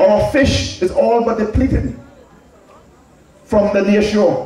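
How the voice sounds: A man's high-pitched voice, slightly mellow in tone, with fairly even intonation and strong room echo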